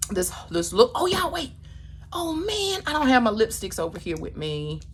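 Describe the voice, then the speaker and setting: Her tone animated, a woman talks at a moderate pace with big swings in loudness over noticeable background noise. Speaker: beauty vlogger. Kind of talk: casual makeup tutorial talk.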